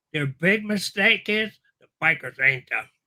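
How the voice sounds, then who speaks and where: Raised, projected male voice with an American accent, high-pitched and bright, sharp in tone, with lively intonation at a moderate pace. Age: 80s+. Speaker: biker magazine founder and writer. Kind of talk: interview. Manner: casual, conversational.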